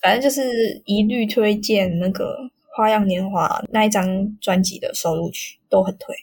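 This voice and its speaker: A fairly high, somewhat breathy female voice at a fairly slow pace, with fairly even intonation and hardly any pauses. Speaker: podcast co-host. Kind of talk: casual chat.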